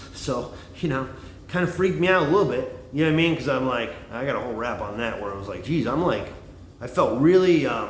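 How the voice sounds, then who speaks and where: Over audible room echo, a man talks at a very fast pace with fairly high pitch and lively intonation. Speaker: livestreamer, former bartender and comic. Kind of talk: casual monologue livestream. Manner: loud; rambling, halting with fillers.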